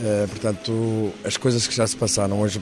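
There is noticeable background noise behind this man. He talks fairly quickly in a fairly low voice. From northern Portugal, Alto Douro (Lamego to Vila Real). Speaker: film director. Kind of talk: interview. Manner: halting, repeats words.

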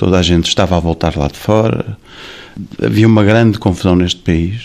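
Talking fairly quickly, a man uses a very deep, low pitch. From Portugal. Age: 40s. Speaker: singer and restaurant owner. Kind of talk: interview.

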